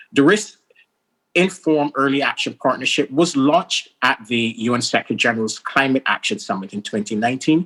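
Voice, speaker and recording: Lively in intonation, a man speaks in a Caribbean accent at medium pitch with a dry, close sound and no echo. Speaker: senior UN official. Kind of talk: formal speech. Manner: formal.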